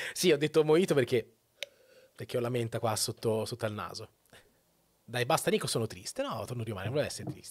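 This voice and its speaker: Over a quiet background, a man talks very fast at a medium pitch, somewhat breathy, but with long, frequent pauses. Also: ordinary pitch variation. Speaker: Twitch streamer. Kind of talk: casual monologue opinion. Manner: informal, rambling, profane. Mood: playful, mock sad. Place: home room. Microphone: studio mic.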